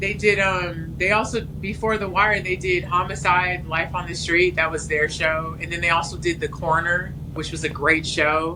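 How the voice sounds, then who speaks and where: Against noticeable background noise and audible room echo, a woman with a fairly low pitch speaks at a moderate pace with fairly even intonation and hardly any pauses. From California (Los Angeles). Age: 40s. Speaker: TV writer. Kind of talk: casual interview chat.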